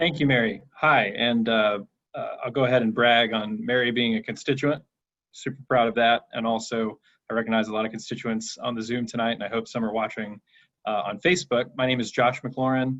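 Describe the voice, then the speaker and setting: In a plain, everyday voice, a man talks at a fairly quick pace with medium pitch and fairly even intonation. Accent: American. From Georgia, US (Cobb County). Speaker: state legislator. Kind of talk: candidate speech on video call. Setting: video call.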